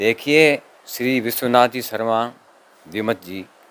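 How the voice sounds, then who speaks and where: Dry and close with no echo, a man's voice sits at a medium pitch. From Rajasthan. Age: 60s. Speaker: poet's son-in-law. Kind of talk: interview.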